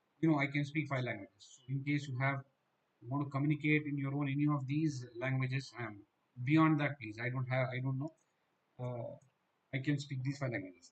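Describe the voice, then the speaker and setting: A somewhat breathy, fairly high-pitched male voice, monotone and flat, fairly quick yet broken by long, frequent pauses. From Gujarat, India. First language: Gujarati. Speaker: dental exam coaching teacher. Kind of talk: online live class.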